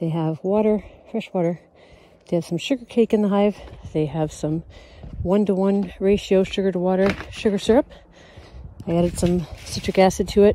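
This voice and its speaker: A woman at a moderate pace with long, frequent pauses and ordinary pitch variation, in a dry sound with no echo over light background noise. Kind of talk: casual podcast narration. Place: farm machine.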